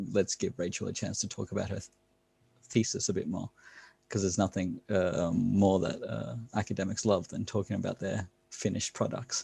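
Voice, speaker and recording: Quiet and somewhat breathy, a man speaks fairly quickly in a dark, mellow tone, his pitch fairly low and his intonation fairly even. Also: very clean recording, silent background. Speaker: academic commentator. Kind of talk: casual chat.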